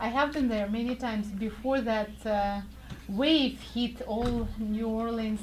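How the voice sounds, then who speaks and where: With a Russian accent, a woman speaks at a very slow pace in a fairly high pitch, her intonation fairly even. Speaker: radio show host. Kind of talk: casual interview. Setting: studio.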